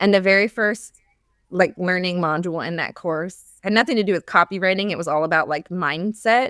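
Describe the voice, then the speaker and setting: A woman with a normal speaking voice talks at a fairly quick pace, medium in pitch and with ordinary pitch variation. The recording is very clean, with a dry, close sound, no echo and a silent background. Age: 30s. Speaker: former teacher turned business coach for moms. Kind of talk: podcast interview. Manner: casual, many fillers like 'like'.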